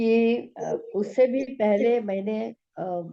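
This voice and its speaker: A woman speaks with lively intonation. Her tone is dark and mellow. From Gujarat, Ahmedabad. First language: Gujarati (speaking Hindi). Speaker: physics teacher and science translator. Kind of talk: interview. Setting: video call.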